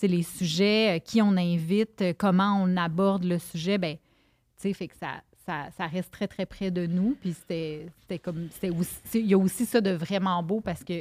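A woman in a Quebec accent, medium pitch, fairly even intonation and a fairly slow pace, dry and close with no echo, in a very clean recording with a silent background. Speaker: nutritionist and podcaster. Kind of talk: casual chat.

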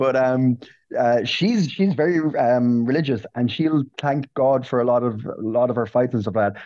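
Against a quiet background, a man with an Irish accent speaks at a moderate pace, medium in pitch, with a dark, mellow tone and ordinary pitch variation. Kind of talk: casual chat.

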